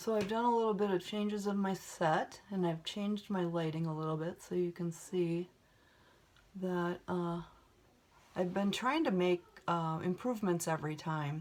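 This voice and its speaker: At a moderate pace, a woman talks at a fairly low pitch with ordinary pitch variation. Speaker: beauty vlogger. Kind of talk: makeup tutorial chat. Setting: home video set. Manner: casual, many fillers.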